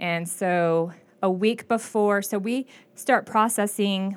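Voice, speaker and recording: A plain, everyday voice from a woman, medium in pitch with ordinary pitch variation, on a very clean recording with a silent background. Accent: American. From Klamath Falls, Oregon. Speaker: county clerk. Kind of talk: interview.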